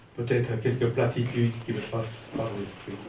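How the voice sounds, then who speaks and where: Someone speaks at a very slow pace, with audible room echo. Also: man. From Belgium, Ostend. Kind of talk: improvised speech.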